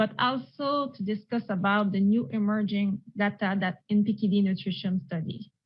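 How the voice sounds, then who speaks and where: A somewhat breathy woman's voice in a Quebec accent, medium in pitch with ordinary pitch variation. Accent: French-Canadian accent in English. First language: French. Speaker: renal dietitian. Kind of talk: presentation. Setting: virtual conference. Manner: slow.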